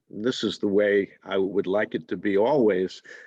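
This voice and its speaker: A man talks with a German accent at a fairly low pitch. His pace is fairly slow and his intonation fairly even. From New York. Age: 70s. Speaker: poet. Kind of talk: interview. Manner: halting.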